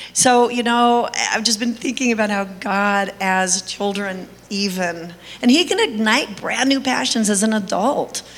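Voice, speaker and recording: A woman with a fairly high pitch talks while noticeable background noise plays behind her. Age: 60s. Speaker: foster parent and nonprofit founder. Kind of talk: testimony. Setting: church stage with audience.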